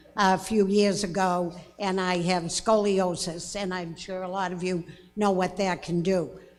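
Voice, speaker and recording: A woman's medium-pitched voice at a fairly slow pace, fairly even in intonation, with music in the background and audible room echo. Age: 90s. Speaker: town resident speaking at meeting. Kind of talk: public comment at town meeting. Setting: town meeting hall with audience, microphone.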